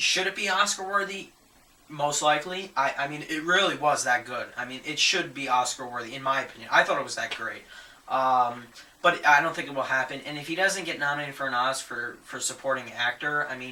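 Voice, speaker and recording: Speech comes at a fairly quick pace with ordinary pitch variation. Noticeable background noise sits behind it. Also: man, big swings in loudness. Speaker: movie reviewer. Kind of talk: casual talk to camera.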